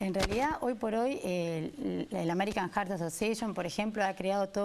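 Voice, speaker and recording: The voice belongs to a woman. Its pitch is medium. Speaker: cardiologist. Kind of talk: interview answer.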